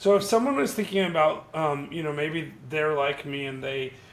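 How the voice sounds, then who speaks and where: Background noise is noticeable as a man talks at a fairly quick pace. Room echo can be heard. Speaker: YouTube channel host. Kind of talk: casual interview. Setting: video call.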